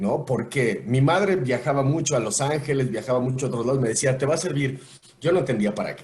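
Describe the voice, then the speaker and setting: A man talks at a fairly quick pace in a somewhat breathy, medium-pitched voice with ordinary pitch variation. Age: 40s. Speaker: voice actor. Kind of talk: podcast interview answer. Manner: casual, conversational.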